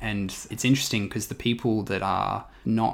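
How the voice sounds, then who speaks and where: In a very clean recording with a silent background, a man with an Australian accent talks at a fairly low pitch with fairly even intonation. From Western Australia. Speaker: startup mentor and entrepreneur. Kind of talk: interview.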